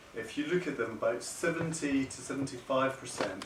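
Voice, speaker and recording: A man talks at a moderate pace in a Scottish accent. Noticeable background noise and audible room echo are present. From Scotland. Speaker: paediatric kidney doctor. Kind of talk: lecture. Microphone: no microphone, speaking unamplified.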